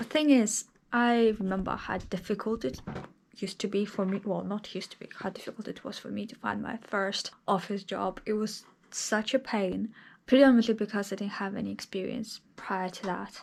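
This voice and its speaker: On a very clean recording with a silent background, a woman speaks at a moderate pace and medium pitch with vocal fry, fairly even intonation and big swings in loudness. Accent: non-native. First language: not English. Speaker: vlogger. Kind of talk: casual vlog monologue. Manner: conversational, with hesitations.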